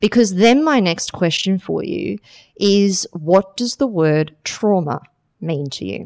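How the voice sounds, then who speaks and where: A woman talks at a very slow pace with a medium pitch and lively intonation. The sound is dry and close, with no echo. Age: 40s. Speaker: mental health advocate and fitness athlete. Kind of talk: interview storytelling.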